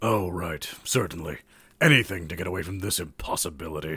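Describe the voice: A man puts on a character voice that sits low in pitch, with a husky, rough edge over a bright, sharp tone. He talks at a fairly quick pace with ordinary pitch variation, in a very clean recording with a silent background.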